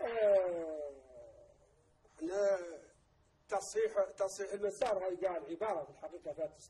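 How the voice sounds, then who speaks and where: A high-pitched man at a fairly slow pace, with long, frequent pauses. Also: ordinary pitch variation. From Mauritania. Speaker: vice president of an activist movement; guest. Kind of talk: TV interview. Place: studio. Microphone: lapel.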